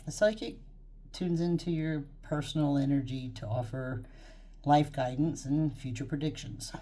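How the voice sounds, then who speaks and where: This woman's pitch is very deep and low, with vocal fry. She talks at a moderate pace. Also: ordinary pitch variation. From Texas. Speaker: psychic medium, YouTube creator. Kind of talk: casual talk to camera, introduction. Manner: chatty, rambling, informal.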